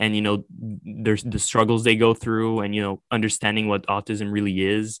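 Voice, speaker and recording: The speech moves at a moderate pace with hardly any pauses. The intonation is monotone and flat, and the sound is dry and close with no echo. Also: man, fairly low pitch for a man. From Quebec, small town outside Montreal. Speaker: film student. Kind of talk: casual interview chat. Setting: remote call.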